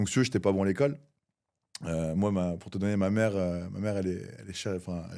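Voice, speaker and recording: A man's very deep, low, dark and mellow voice, very fast, with ordinary pitch variation. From southern France, near Cannes. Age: 30s. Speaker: entrepreneur. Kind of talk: podcast interview. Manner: hesitant, many fillers.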